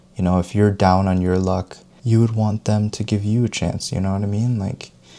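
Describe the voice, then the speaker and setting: Noticeable background noise sits behind a gentle tone with monotone, flat intonation, delivered at a moderate pace. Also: man. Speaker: self-help video creator who talks over tea. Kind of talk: soft-spoken tea talk to camera, self-help style. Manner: gentle, soft-spoken, conversational.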